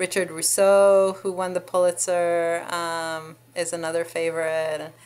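At a moderate pace, a woman with an Israeli accent speaks at a fairly low pitch with fairly even intonation. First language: Hebrew. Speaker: law professor and author; law professor. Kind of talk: interview. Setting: university office. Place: office. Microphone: webcam.

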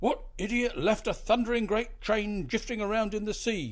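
Growling in a put-on character voice, a man speaks at a high pitch and a moderate pace with fairly even intonation. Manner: growling, irate.

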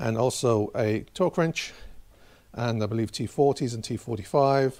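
A dark, mellow tone comes through against a quiet background. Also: man. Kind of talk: tutorial. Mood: relaxed, lightly humorous. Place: garage. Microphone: camera far.

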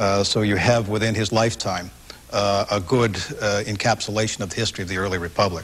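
Fairly quick and fairly low, a man speaks with monotone, flat intonation. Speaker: history professor. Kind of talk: televised interview. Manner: halting, many fillers. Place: home room. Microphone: lapel.

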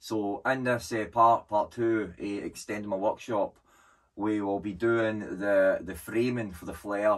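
A man with a normal speaking voice talks at a fairly slow pace and fairly low pitch, his pitch varying in an ordinary way, against a quiet background. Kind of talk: casual vlog chat. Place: workshop. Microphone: camera far.

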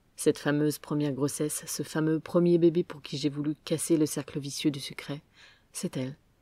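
A woman speaks with a very deep, low pitch, a dark, mellow tone and fairly even intonation. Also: very clean recording, silent background. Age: 40s. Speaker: podcaster. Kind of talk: personal testimony, scripted narration.

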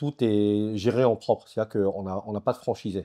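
Over a quiet background, a man with a dark, mellow tone and fairly low pitch speaks at a moderate pace. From France, Strasbourg (Alsace); France. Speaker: business founder; interviewee. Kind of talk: interview. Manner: halting, many repetitions. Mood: relaxed, explanatory. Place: home room. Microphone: lapel.

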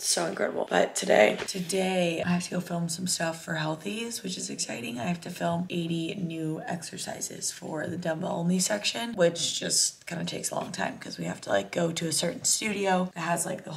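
Speaking at a fairly quick pace with hardly any pauses, a woman uses a normal speaking voice, fairly low in pitch and with ordinary pitch variation. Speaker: lifestyle vlogger. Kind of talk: casual vlog chat. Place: home room. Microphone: phone near.

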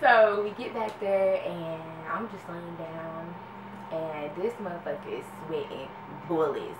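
The woman talks very slowly while noticeable background noise runs underneath. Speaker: vlogger. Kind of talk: casual storytime chat. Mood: amused, laughing often. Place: home room. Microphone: camera far.

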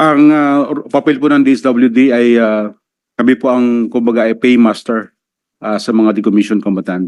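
At a moderate pace, a man speaks at medium pitch. His intonation is fairly even. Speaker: welfare department undersecretary. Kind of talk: testimony at senate hearing. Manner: formal; halting.

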